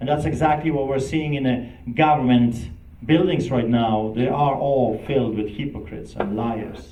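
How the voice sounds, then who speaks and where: A man's voice is heard with audible room echo. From Poland. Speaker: pastor. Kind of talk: speech. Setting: event with live audience. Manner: impassioned.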